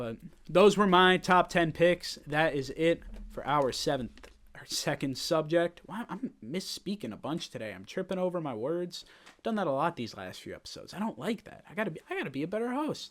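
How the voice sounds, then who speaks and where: A high-pitched man with an American accent, lively intonation and big swings in loudness. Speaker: sports podcast host. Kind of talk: casual solo sports commentary. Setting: home studio set. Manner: fast; animated.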